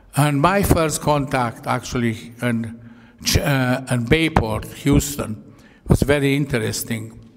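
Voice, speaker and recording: A man at a medium pitch, fairly slow in pace, with ordinary pitch variation and noticeable background noise. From Croatia (Yugoslavia). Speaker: Holocaust survivor, retired engineer. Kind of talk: public talk. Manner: halting.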